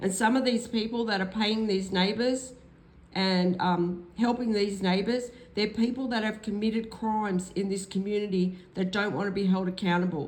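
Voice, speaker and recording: A woman in an Australian accent speaks at a moderate pace and medium pitch, her intonation fairly even and her loudness very even, with audible room echo. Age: 60s. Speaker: vlogger. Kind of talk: personal vlog testimony. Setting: at home. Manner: hesitant, with fillers.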